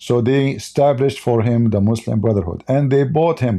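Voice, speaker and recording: With an Arabic accent, a man speaks at a moderate pace in a dark, mellow tone. The background is quiet. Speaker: religious commentator, live streamer. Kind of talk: live stream commentary. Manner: animated.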